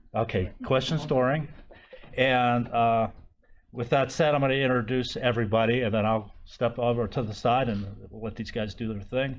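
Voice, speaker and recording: Fairly even intonation with audible room echo. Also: man. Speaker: session moderator. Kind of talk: conference introduction.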